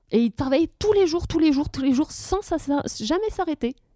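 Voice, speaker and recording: A woman with a dark, mellow tone talks at a moderate pace, her pitch swinging very widely. The recording is very clean and dry, close with no echo, over a silent background. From Brittany, France. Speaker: blogger and photographer. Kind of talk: casual interview. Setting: at her home. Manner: halting.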